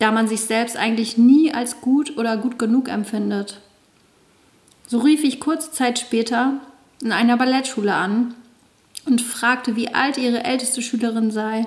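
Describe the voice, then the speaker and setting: The speaker uses fairly even intonation. Pauses are long and frequent. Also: woman. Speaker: author reading own memoir, dance fitness instructor. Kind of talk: reading aloud of memoir chapter.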